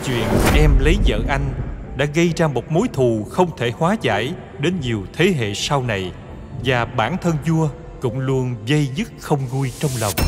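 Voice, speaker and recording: Over music in the background, a man with a medium pitch talks at a fairly slow pace with lively intonation. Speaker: voice director. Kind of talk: history documentary narration. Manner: heroic, stirring.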